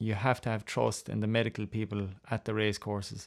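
With an Irish accent, the speaker holds a monotone, flat intonation at a moderate pace on a very clean recording with a silent background. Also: man. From Ireland. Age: 30s. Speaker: jump jockey. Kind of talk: interview. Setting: studio. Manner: halting, with frequent fillers.

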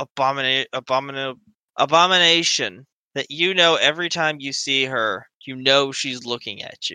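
An unforced reading voice with ordinary pitch variation, over a quiet background.

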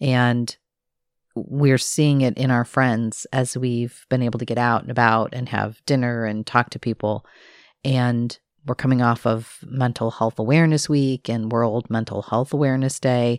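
With a very deep, low pitch and monotone, flat intonation, a woman speaks at a moderate pace in a dry, close sound with no echo, recorded very cleanly against a silent background. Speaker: podcast co-host. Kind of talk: casual chat.

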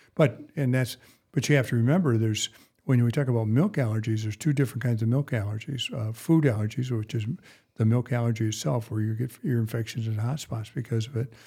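In a very clean recording with a silent background, a man talks very fast at a medium pitch, his tone dark, mellow and somewhat breathy. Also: ordinary pitch variation. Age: 70s. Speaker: veterinarian podcast host. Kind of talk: casual chat. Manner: halting.

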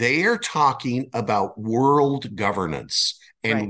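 Against a quiet background, a man with an American accent and a plain, everyday voice talks fairly slowly at a medium pitch with lively intonation. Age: 60s. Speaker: author and media founder. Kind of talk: interview.

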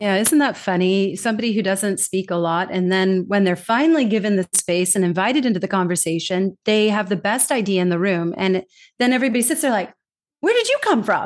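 A woman with a Californian accent talks at a fairly quick pace. Her loudness stays very even over a quiet background. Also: medium pitch for a woman, ordinary pitch variation. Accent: Californian American English. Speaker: global communication trainer. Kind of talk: casual chat. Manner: animated.

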